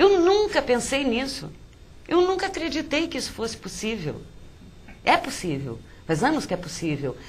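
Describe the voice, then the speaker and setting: Her high voice swings very widely in pitch at a moderate pace, broken by long, frequent pauses, with noticeable background noise and audible room echo around the woman. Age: 60s. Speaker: poet and writer. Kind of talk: interview.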